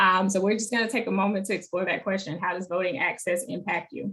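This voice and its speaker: A woman with an American accent, medium pitch, ordinary pitch variation and a fairly quick pace. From Alabama, Monroeville (rural). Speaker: advocacy organizer. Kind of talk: online teach-in presentation.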